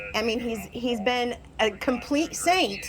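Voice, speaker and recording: Noticeable background noise runs under speech that has ordinary pitch variation and a moderate pace. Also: woman. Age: 50s. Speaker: dog owner. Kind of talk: argument with animal control officer. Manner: halting.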